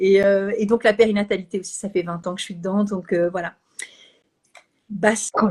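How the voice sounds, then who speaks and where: A woman's medium-pitched, monotone, flat delivery at a moderate pace, with long, frequent pauses and big swings in loudness. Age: 60s. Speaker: Bach flower practitioner and live host. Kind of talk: casual chat. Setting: Instagram live video. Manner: hesitant, many fillers.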